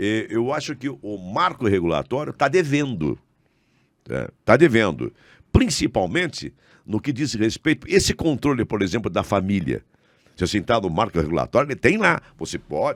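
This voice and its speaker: Recorded very cleanly against a silent background in a dry, close sound with no echo, a man speaks with vocal fry and very wide pitch swings. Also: medium pitch for a man, moderate pace. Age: 70s. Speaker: former state politician and radio and TV host. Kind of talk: casual interview chat. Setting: podcast studio.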